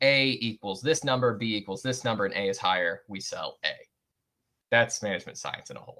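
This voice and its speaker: In a bright, sharp tone, this voice runs at a fairly quick pace, with ordinary pitch variation and big swings in loudness. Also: man, medium pitch for a man. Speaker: university lecturer. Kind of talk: lecture. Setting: video call. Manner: fast.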